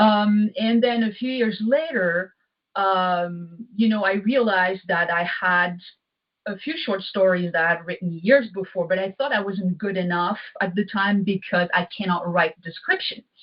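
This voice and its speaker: Speaking with a French accent, a woman has a medium pitch and ordinary pitch variation. Her pace is moderate. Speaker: poet and author. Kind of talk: interview.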